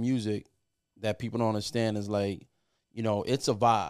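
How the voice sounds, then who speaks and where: A man with a New York accent speaks at a fairly quick pace on a very clean recording with a silent background. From New York, Puerto Rican family. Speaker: music producer. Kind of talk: casual chat.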